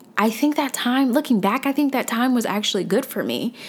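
A woman speaks in an American accent. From US South, Atlanta, Georgia. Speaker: personal finance blogger and podcaster. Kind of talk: solo podcast monologue.

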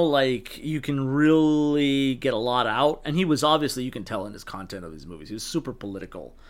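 Lively intonation from a man with a fairly high pitch, at a moderate pace. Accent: American. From Texas, El Paso. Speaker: horror screenwriter. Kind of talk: casual chat. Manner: halting.

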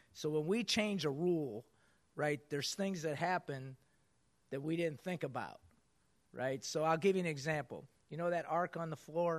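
A man with a fairly high voice speaks at a moderate pace, his pitch varying in an ordinary way. He leaves long, frequent pauses against a quiet background. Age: 50s. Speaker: basketball coach speaking to business audience. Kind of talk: motivational talk.

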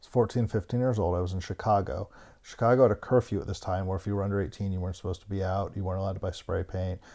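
A man with a Mid-Atlantic accent, fairly low in pitch and dark and mellow in tone, in a very clean recording with a silent background. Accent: American, Mid-Atlantic. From US, Maryland (Bethesda, near Washington DC). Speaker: graffiti curator and publisher. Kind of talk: casual interview chat.

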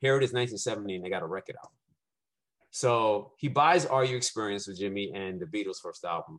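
A man with a New York accent talks at a fairly quick pace and medium pitch, in an animated tone. His pitch variation is ordinary, and the background is quiet. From Brooklyn, New York City. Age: 50s. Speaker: musician. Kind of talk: casual chat.

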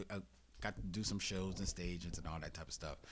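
A man speaks with vocal fry in a very deep, low voice. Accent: American. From Philadelphia, Germantown. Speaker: podcaster. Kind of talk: casual chat. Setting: studio.

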